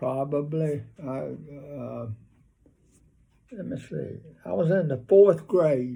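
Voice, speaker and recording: A man with a Southern US accent speaks very slowly, leaving long, frequent pauses, and his loudness swings widely. His voice sits fairly high in pitch, with a dark, mellow tone and a somewhat breathy quality. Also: ordinary pitch variation. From North Carolina, USA. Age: 80s+. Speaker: WWII veteran. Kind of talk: interview answer.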